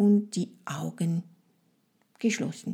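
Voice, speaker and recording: The pace is very slow and the voice somewhat breathy. Its tone is dark and mellow. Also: woman. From France. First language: French (speaking German). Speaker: French language trainer, podcast host. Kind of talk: guided fantasy journey; educational monologue podcast. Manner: halting with fillers.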